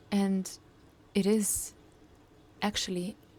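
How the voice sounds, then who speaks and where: With a non-native accent, a woman speaks at a medium pitch in a somewhat breathy voice with fairly even intonation. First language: not English. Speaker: coach and startup founder. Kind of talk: personal video diary.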